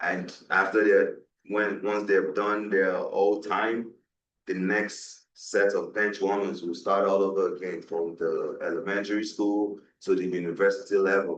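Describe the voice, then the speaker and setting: Speaking at a fairly slow pace, a man talks in a Nigerian accent. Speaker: guest speaker on West African politics. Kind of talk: panel discussion.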